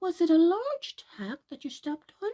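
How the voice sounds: In a put-on character voice, a woman speaks at a fairly slow pace with an extremely high pitch, very wide pitch swings and a dark, mellow tone, the sound dry and close with no echo.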